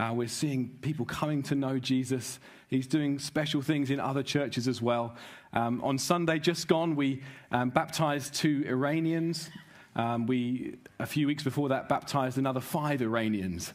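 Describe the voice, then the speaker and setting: A man at a moderate pace with fairly even intonation, in a quiet background. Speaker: preacher welcoming a conference. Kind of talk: sermon. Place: stage. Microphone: headset.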